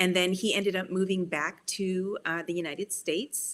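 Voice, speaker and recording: A woman with a Canadian accent speaks in a plain, everyday voice, fairly low in pitch, with fairly even intonation. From Canada, Toronto. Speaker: children's book author. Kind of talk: interview conversation.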